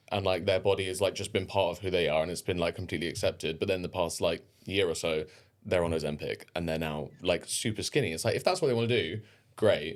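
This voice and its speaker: In a southern English accent, a man with a very deep, low pitch talks in an animated tone on a very clean recording with a silent background. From England. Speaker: dancer. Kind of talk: casual chat.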